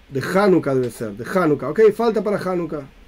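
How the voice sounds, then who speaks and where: His pitch rises and falls very widely. The man keeps a fairly quick pace. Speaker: Torah teacher. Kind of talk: lecture.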